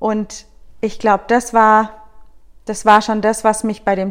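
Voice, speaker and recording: Here a woman speaks with a fairly high pitch. Her pace is very slow. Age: 30s. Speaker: guest. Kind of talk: casual chat.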